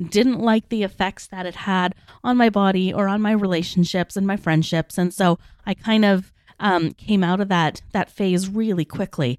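In a normal speaking voice, a woman talks at a moderate pace with fairly even intonation. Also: medium pitch for a woman. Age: 40s. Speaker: podcast host, life and weight loss coach. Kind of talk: casual solo monologue.

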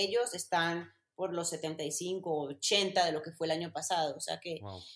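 A woman talks at a fairly slow pace with a strong Mexican accent. Her pitch varies in an ordinary way. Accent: strong Mexican accent picked up. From Colombia, Medellín. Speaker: content creator and former racing driver. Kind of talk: casual interview.

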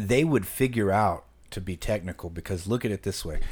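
A man speaks at a moderate pace with a plain, everyday voice. His pitch sits fairly low, on a very clean recording with a silent background. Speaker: podcast co-host. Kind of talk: casual chat.

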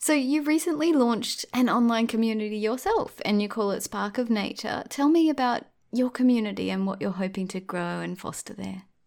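A woman with an Australian accent talks at a fairly quick pace with hardly any pauses. Her fairly high voice has lively intonation. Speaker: podcast host. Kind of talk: casual interview chat.

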